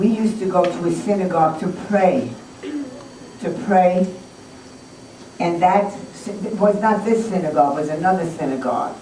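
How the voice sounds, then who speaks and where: A woman at medium pitch, moderate pace, and ordinary pitch variation, with long, frequent pauses and noticeable background noise. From Germany. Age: 70s. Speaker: Holocaust survivor. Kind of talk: talk to school students.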